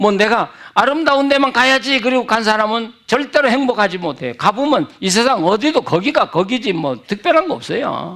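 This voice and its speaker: Here a man speaks with an extremely high pitch and a bright, sharp tone, his intonation lively at a moderate pace. The recording is very clean, with a silent background. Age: 70s. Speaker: retired pastor, guest preacher. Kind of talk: sermon. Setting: church revival meeting.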